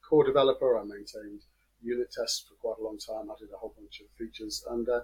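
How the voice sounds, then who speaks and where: A man speaks with an English accent. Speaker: software developer. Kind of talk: interview.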